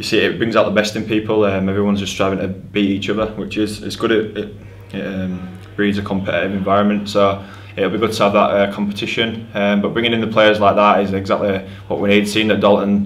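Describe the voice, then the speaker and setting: In a fairly low voice, a man speaks very fast with monotone, flat intonation. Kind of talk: interview answer. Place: hall.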